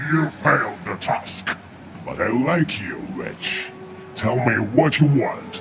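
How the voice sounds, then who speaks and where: A man uses a put-on character voice at medium pitch and a fairly slow pace. Clear background noise sits behind him. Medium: video game. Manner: arrogant, mocking, commanding.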